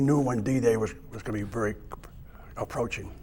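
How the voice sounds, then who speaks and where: Somewhat breathy, a man talks in an American accent with ordinary pitch variation. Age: 80s+. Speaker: war veteran. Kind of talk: oral history testimony. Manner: halting, with fillers and restarts.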